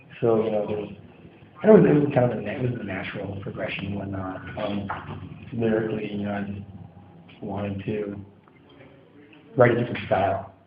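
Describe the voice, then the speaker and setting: With a fairly low pitch and fairly even intonation, a man in an American accent talks at a fairly quick pace amid noticeable background noise and audible room echo. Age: 20s. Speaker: hardcore band singer. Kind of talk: interview. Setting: music venue after a show. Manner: halting. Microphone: audio a little quiet.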